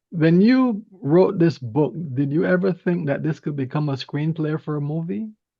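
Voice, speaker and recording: A man's plain, everyday voice sits at a fairly high pitch, moving at a moderate pace with lively intonation. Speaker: radio show host. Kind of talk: radio interview hosting.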